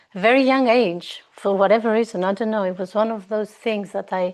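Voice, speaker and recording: Fairly high in pitch, a woman with a Greek accent speaks at a moderate pace with fairly even intonation. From Greece. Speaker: somatic movement mentor. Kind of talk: interview conversation.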